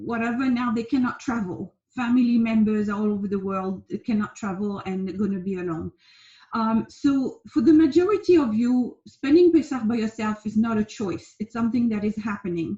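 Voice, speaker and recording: A woman with a French accent speaks in a fairly high pitch with lively intonation. Her tone is dark and mellow, and somewhat breathy. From France. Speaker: life coach. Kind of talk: casual talk to camera. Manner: hesitant, many fillers.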